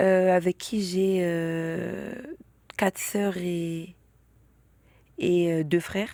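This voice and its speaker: In a very clean recording with a silent background, a woman speaks very slowly, leaving long, frequent pauses. Her tone is dark and mellow, and her intonation monotone and flat. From Île-de-France. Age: 20s. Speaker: interview guest. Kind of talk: personal testimony. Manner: halting, many fillers.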